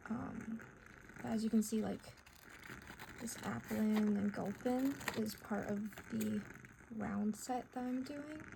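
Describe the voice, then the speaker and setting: Amid noticeable background noise, a woman speaks very slowly with long, frequent pauses. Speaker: artist. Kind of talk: casual cozy art hangout talk. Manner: soft-spoken.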